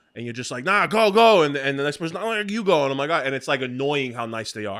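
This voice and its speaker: Very fast, animated speech in a New York accent. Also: man. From New York, Brooklyn. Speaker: podcast co-host and clothing brand founder. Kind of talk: casual chat.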